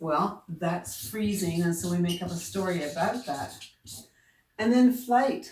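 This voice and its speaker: With a Newfoundland accent, a woman of fairly low pitch speaks at a fairly slow pace with ordinary pitch variation. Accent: Newfoundland accent, drops and adds H's. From Newfoundland, Canada. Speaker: self-help coach. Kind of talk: motivational video talk. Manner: casual, conversational.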